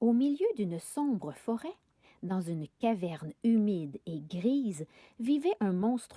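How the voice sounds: The reading voice sounds natural, and the intonation is lively.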